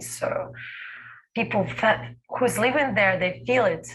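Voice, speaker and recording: At a fairly slow pace, a woman speaks with vocal fry in a room with audible echo. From Belarus. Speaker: dancer. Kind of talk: panel Q&A. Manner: halting.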